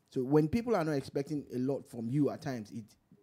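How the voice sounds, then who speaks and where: A man talks at a fairly quick pace. His tone is dark and mellow. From Nigeria. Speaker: radio host. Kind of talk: casual chat; casual talk show chat. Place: studio. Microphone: studio mic.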